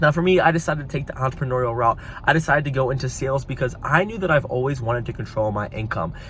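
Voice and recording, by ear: A man speaks fast at a medium pitch with ordinary pitch variation.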